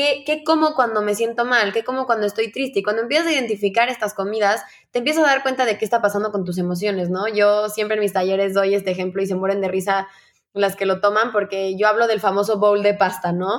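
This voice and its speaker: Very fast female speech, its pitch varying in an ordinary way. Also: medium pitch for a woman. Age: 20s. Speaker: eating disorder survivor. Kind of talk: testimony.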